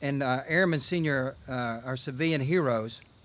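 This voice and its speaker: Ordinary pitch variation from a man in a Southern US accent. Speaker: Air Force general. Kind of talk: ceremony speech.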